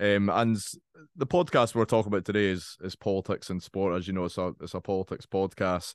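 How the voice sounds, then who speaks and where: A man with an Edinburgh accent, fairly low-pitched and fairly quick, his intonation fairly even, the sound dry and close over a quiet background. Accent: Scottish (Edinburgh). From Scotland, Edinburgh (Leith). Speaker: podcast host. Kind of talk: casual interview chat.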